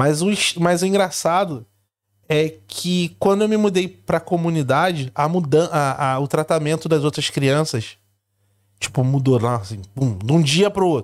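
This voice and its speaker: On a very clean recording with a silent background, a man with a Rio de Janeiro accent speaks at a fairly high pitch with lively intonation. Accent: Carioca Brazilian Portuguese. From Rio de Janeiro, Brazil. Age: 40s. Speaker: immigrant content creator. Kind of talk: casual chat.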